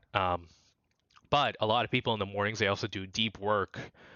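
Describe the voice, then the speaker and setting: A man talks very fast in a fairly low voice. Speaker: podcast host. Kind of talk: casual talk to camera.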